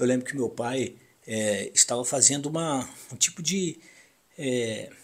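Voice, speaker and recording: At a medium pitch with ordinary pitch variation, a man talks at a fairly slow pace. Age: 60s. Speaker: radio broadcaster. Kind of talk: personal reminiscence monologue. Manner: halting.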